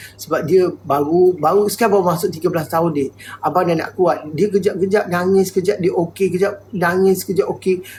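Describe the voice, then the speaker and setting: Speaking at a moderate pace, a man has a high pitch and fairly even intonation. Noticeable background noise can be heard. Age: 50s. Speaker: livestreamer. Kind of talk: live stream chat. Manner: halting.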